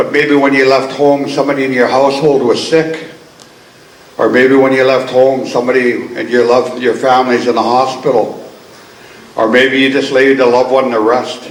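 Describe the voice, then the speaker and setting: Amid noticeable background noise and audible room echo, a man speaks at a moderate pace in a medium pitch, with very even loudness and a monotone, flat intonation. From Coast Salish, BC, Canada. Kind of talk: ceremonial welcome speech. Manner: warm, earnest.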